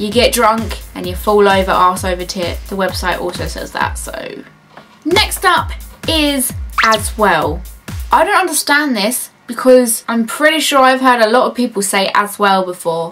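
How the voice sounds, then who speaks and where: A woman with a British accent, music playing in the background. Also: moderate pace. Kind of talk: casual talk to camera. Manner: upbeat, jokey.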